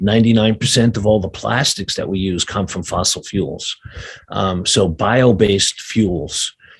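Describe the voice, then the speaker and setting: A man with a New York accent, fairly low in pitch and somewhat breathy, at a fairly slow pace with ordinary pitch variation. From New York City, Brooklyn. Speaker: sustainability adviser. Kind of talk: interview. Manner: halting, many fillers.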